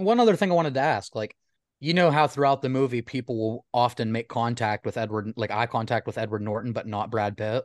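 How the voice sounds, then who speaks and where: A man speaks fairly quickly in an ordinary speaking voice, his pitch medium with ordinary pitch variation. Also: quiet background. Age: 30s. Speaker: podcast guest. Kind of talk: casual chat.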